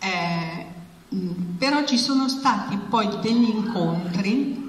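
A woman talks amid light background noise, her voice carrying audible room echo. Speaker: journalist. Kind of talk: moderated talk. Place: meeting room. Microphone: handheld.

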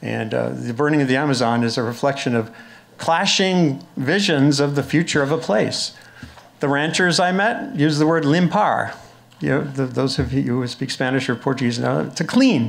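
A man's fairly high-pitched, normal speaking voice moves at a moderate pace, its pitch varying in an ordinary way. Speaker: journalist and panel moderator; journalist, panel moderator. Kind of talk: panel moderation. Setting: stage with audience. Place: classroom. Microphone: podium.

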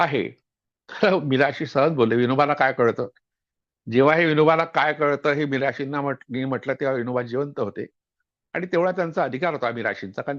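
The voice carries vocal fry. The sound is dry and close with no echo, over a quiet background. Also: man. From Vidarbha, Maharashtra (Yavatmal district). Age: 60s. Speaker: historian and author. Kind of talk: lecture-style book introduction.

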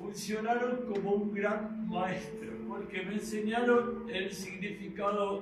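A man at a very slow pace, with music in the background and audible room echo. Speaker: stage actor. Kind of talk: theatrical monologue. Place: stage. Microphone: camera far.

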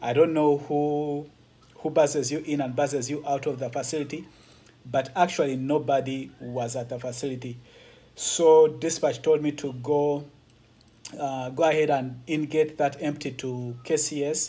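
The speaker is a man going at a moderate pace. His intonation stays monotone and flat. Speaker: truck driver vlogger. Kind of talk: casual vlog chat. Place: home room. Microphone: phone near.

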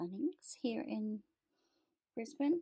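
The background is quiet as a woman talks. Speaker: vlogger. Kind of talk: casual vlog chat. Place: home room. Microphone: phone near.

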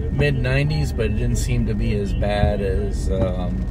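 Loud background noise behind a man's voice. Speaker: vlogger driving to work. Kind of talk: casual vlog chat. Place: car. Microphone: camera far.

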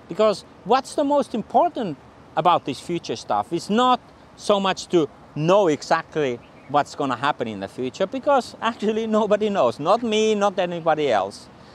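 With a Finnish accent, a man speaks in a high pitch with very wide pitch swings at a moderate pace, the sound dry with no echo and light background noise. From Finland. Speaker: futurist; presenter. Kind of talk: channel introduction to camera. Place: street. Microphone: lapel.

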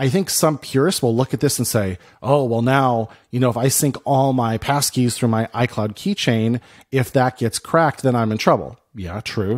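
This man talks at a moderate pace with ordinary pitch variation. The background is quiet. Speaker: podcast co-host. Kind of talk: podcast discussion. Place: home room. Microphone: studio mic.

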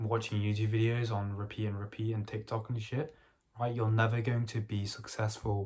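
A soft-spoken, somewhat breathy man with a fairly low pitch, a fairly quick pace and a quiet background. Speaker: vlogger documenting agency business; vlogger. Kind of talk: casual vlog. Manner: soft-spoken, talking quietly. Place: home room. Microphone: phone near.

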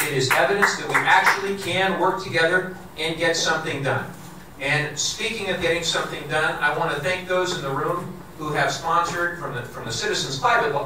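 A high-pitched male voice at a fairly quick pace, with ordinary pitch variation, audible room echo and noticeable background noise. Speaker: politician at a town hall. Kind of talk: public speech. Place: hall.

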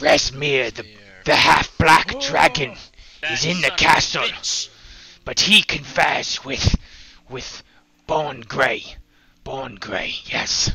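A raspy, hissing put-on character voice speaks at a very slow pace. Long pauses come often. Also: man, fairly high pitch for a man. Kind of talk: comic game master creature voice. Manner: broken grammar, eager, hissing repetitions.

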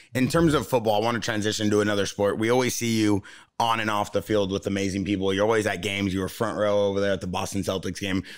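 Over a quiet background, a man with a fairly low pitch talks at a very fast pace. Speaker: podcast host. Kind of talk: casual chat. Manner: animated. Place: studio. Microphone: studio mic.

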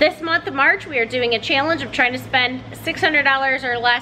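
A woman's raised, projected voice at a moderate pace with ordinary pitch variation, music playing in the background. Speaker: mom vlogger. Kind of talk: casual vlog chat. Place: home room. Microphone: phone near.

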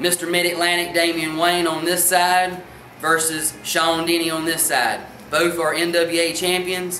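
A man's high-pitched voice at a fairly slow pace, with fairly even intonation, audible room echo and light background noise. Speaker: wrestling show host. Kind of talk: wrestling news update to camera. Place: hall. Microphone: camera far.

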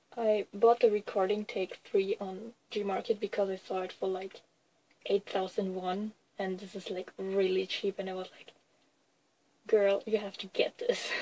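The intonation stays monotone and flat, with big swings in loudness. Music plays in the background. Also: woman, medium pitch for a woman. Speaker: k-pop fan vlogger. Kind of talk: casual haul video. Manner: hesitant, many fillers.

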